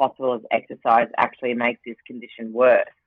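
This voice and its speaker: Her pitch is very deep and low for a woman. She speaks with an Australian accent at a moderate pace. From Queensland, Australia (Rockhampton). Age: 40s. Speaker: Paralympian and TV presenter. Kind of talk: casual interview chat.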